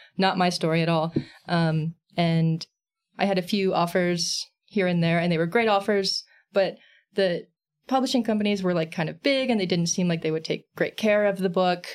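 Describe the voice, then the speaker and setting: In a very clean recording with a silent background, a normal speaking voice with an American accent moves at a moderate pace with ordinary pitch variation. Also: woman, fairly low pitch for a woman. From Texas, San Antonio. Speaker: comics creator and illustrator. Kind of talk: casual interview chat.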